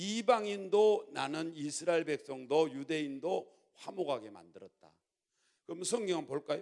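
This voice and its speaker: A man with a fairly high pitch speaks at a moderate pace. His intonation is lively. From Jeolla, South Korea. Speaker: pastor. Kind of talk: sermon. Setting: church.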